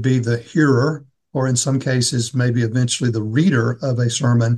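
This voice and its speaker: At a moderate pace, fairly even in intonation, the delivery sounds somewhat breathy. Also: man. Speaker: seminary dean and podcast host. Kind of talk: interview, moderated discussion.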